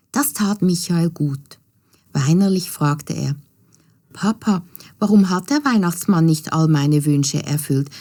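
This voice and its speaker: A woman's fairly low, dark and mellow voice at a fairly slow pace, with ordinary pitch variation and long, frequent pauses. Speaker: storyteller. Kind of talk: children's fairy tale narration.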